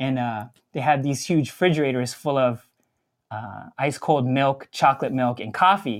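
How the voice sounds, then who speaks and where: Recorded very cleanly against a silent background, a man has a plain, everyday voice at medium pitch. He speaks at a moderate pace with ordinary pitch variation. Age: 40s. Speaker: coffee equipment company founder. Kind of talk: casual chat.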